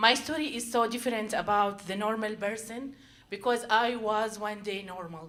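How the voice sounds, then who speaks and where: Audible room echo surrounds a woman with a non-native accent and a fairly high pitch. She talks at a moderate pace with fairly even intonation. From Syria. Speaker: storyteller. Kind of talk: live storytelling. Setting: stage with audience. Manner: halting.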